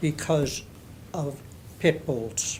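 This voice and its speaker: A man talks with lively intonation. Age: 80s+. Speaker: resident speaking at public comment. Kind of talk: public comment. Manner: halting.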